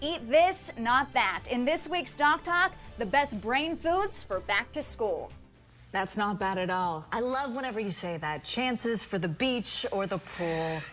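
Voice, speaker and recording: With music in the background, a woman speaks at a fairly slow pace, her fairly high pitch moving in very wide swings. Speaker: television news anchor and reporter. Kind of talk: TV news anchor delivery.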